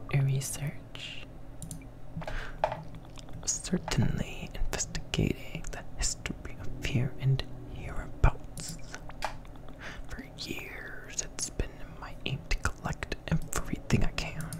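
Whispering at a very slow pace, broken by long, frequent pauses. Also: man. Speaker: ASMR gaming streamer. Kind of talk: reading game dialogue aloud. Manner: whispered. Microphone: studio mic.

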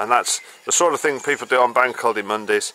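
At a moderate pace, a man talks over light background noise, the sound dry with no echo. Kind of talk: casual vlog chat. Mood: cheerful, relaxed. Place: street. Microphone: phone near.

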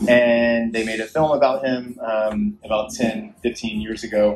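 Amid audible room echo and music in the background, a man speaks with fairly even intonation. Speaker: event host. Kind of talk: public speech introduction. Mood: earnest, heartfelt. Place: stage. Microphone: pa.

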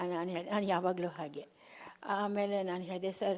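The woman's voice has a dark, mellow tone. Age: 80s+. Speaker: veteran actress. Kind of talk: interview. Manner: halting.

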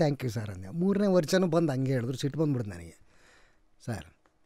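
With lively intonation and a dark, mellow tone, a man speaks in a dry recording with no echo and a quiet background. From North Karnataka, India. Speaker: actor; podcast guest, actor. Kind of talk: interview. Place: studio. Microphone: studio mic.

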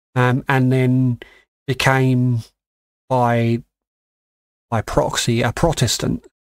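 A man's medium-pitched voice in an English accent, very slow and monotone, with a dry, close sound and no echo. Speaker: podcast co-host. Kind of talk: casual chat.

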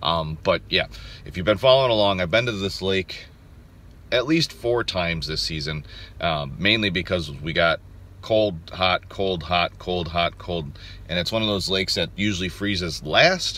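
At a moderate pace, a man talks with a very deep, low pitch, a bright, sharp tone and ordinary pitch variation, in a dry sound with no echo. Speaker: outdoors vlogger. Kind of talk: casual vlog chat. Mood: upbeat, hopeful. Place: car. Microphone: phone near.

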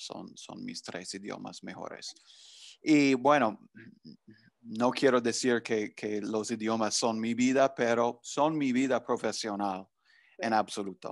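In an English accent, a man speaks at a very slow pace with fairly even intonation. The sound is dry with no echo, against a quiet background. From US Northeast, New Jersey. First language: English (speaking Spanish). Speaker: language professor. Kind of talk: interview. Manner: halting, many fillers. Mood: friendly, relaxed. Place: home room. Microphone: video call.

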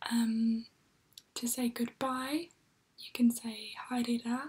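The speaker is whispering in a calm tone. The voice is soft-spoken. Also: woman. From New Zealand. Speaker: ASMR creator. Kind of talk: ASMR language lesson. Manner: soft-spoken, whispery, calm.

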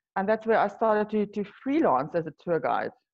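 A woman speaks at a medium pitch and a moderate pace. Her intonation is lively.

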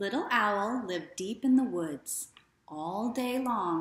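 Someone reads aloud in a natural voice, with lively intonation throughout.

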